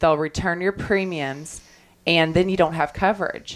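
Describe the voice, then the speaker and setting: In a Kentucky accent, a woman talks at a moderate pace with a fairly low pitch and fairly even intonation. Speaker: insurance claims attorney. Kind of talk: radio talk show interview.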